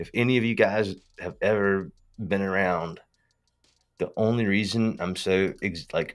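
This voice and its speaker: Speaking with a strong Southern US accent, a man with a fairly low pitch goes at a fairly slow pace and leaves long, frequent pauses. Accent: strong Southern US accent, super country. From US South. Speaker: tech company founder and live streamer. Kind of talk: casual livestream talk. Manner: animated, slangy.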